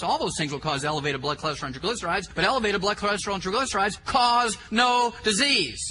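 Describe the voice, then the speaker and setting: A man talking very fast, pitch swinging very widely, with audible room echo and noticeable background noise. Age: 60s. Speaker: health lecturer. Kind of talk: lecture. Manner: animated.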